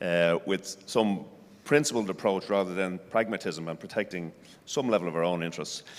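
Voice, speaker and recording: An Irish accent at a moderate pace, with ordinary pitch variation. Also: man, very deep, low pitch for a man. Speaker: senior agriculture civil servant. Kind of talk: panel discussion.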